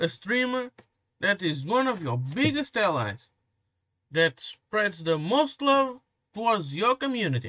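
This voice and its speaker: Recorded dry and close with no echo, a man in a high pitch projects a raised voice with a bright, sharp tone, very wide pitch swings, long, frequent pauses and a fairly slow pace. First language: Portuguese. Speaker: commentary youtuber. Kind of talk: reaction commentary rant. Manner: animated.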